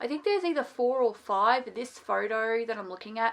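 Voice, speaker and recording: A woman's fairly high voice, bright and sharp in tone, with ordinary pitch variation. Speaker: book reviewer. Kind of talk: casual chat. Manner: animated.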